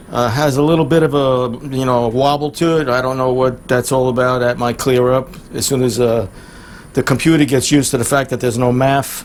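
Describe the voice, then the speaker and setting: The speech is fairly quick and delivered in a flat monotone. Background noise is noticeable. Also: man, medium pitch for a man. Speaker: car mechanic youtuber. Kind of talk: diy tutorial vlog. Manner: halting, many fillers.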